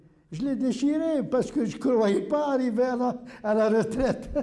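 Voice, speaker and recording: Fairly slowly, a man talks in a space with audible room echo. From Algeria. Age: 70s. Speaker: retired immigrant resident. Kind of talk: documentary interview. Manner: halting.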